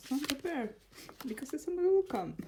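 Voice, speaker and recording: With lively intonation, a woman speaks in an Argentine accent over noticeable background noise. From Argentina, Buenos Aires. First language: Spanish. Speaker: tarot content creator. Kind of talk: casual vlog, answering tag questions. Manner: halting, with fillers.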